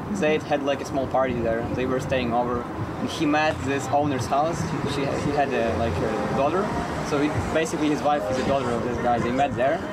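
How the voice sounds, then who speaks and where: A man talking at a fairly quick clip, loudness very even, ordinary pitch variation, noticeable background noise behind him. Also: fairly high pitch for a man. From Ukraine. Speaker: international student, fraud victim. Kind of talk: interview. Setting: outdoors near traffic.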